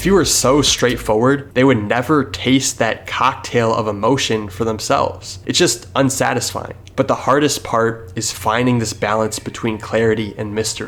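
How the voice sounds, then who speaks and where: A man speaks at a moderate pace with medium pitch and ordinary pitch variation, hardly pausing. Noticeable background noise sits behind him. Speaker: video essayist on art. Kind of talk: scripted narration. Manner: halting.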